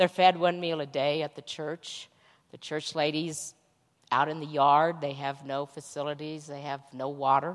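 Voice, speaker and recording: The recording is very clean, with a silent background. The speaking pace is moderate. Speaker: mission trip volunteer. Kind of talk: testimony. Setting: church.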